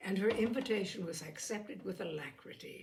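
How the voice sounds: At a moderate pace, a woman with a medium pitch and slightly mellow tone speaks with vocal fry, with room echo audible.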